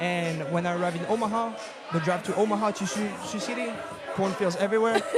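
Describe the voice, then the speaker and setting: Amid noticeable background noise and audible room echo, a high-voiced man with a French accent talks very fast with fairly even intonation. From France. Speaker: assistant soccer coach. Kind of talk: casual chat. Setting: live event in a bar with audience.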